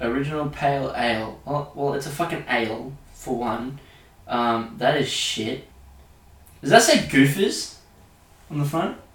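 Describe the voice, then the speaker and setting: A man with an Australian accent speaks at a fairly high pitch and a fairly slow pace. He leaves long, frequent pauses, and audible room echo surrounds the voice. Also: ordinary pitch variation. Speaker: podcast host. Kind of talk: casual chat.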